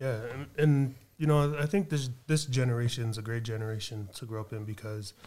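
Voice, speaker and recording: A man's medium-pitched, dark, mellow voice with a western US accent, ordinary pitch variation, and a fairly quick pace. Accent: American (western US). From Reno, Nevada. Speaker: artist. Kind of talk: casual interview.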